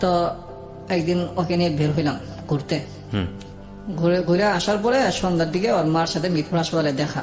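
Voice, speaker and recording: Music plays in the background. A man talks at a high pitch. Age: 30s. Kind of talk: radio interview life story.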